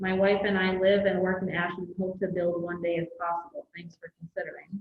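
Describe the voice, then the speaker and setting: A soft-spoken woman talks with a medium pitch. Her intonation is monotone and flat. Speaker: county staff reading bids. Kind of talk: public meeting.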